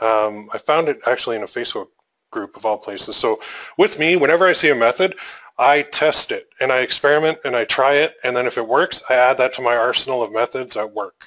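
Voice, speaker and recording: A man with a Canadian accent speaks at a fairly quick pace. His tone is bright and sharp, with ordinary pitch variation. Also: medium pitch for a man. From Canada. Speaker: online marketing coach. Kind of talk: webinar tutorial. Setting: live webinar. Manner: casual, filler-heavy.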